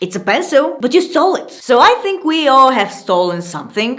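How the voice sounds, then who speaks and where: A woman keeps a moderate pace as noticeable background noise carries on behind her. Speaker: YouTuber hosting a video channel. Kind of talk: casual talk to camera reading anonymous confessions with commentary.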